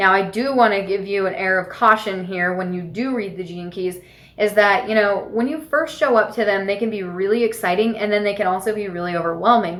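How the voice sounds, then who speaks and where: A woman with an ordinary speaking voice, medium pitch, ordinary pitch variation, a fairly quick pace and hardly any pauses. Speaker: spiritual mentor and podcast host. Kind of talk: casual monologue, book recommendations.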